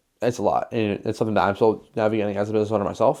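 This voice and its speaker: This man has an American accent. His intonation stays fairly even. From western Wisconsin. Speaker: photographer and videographer, small business owner. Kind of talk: casual talking-head vlog. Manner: fast; casual, filler-heavy.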